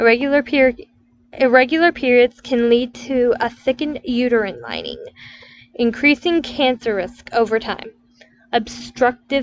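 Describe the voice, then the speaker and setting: Her voice is high for a woman, and the pitch varies in an ordinary way. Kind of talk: educational health explainer read. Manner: stuttering.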